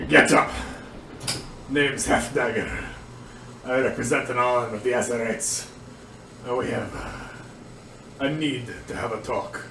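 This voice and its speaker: A man does a gruff, put-on character voice at medium pitch and a fairly slow pace, with long, frequent pauses. Clear background noise and a slight echo are present. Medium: actual play. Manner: blunt, curt.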